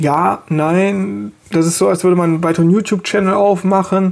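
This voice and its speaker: A man speaks at a high pitch and a moderate pace with fairly even intonation. Noticeable background noise runs behind him. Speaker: podcast host. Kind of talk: solo monologue.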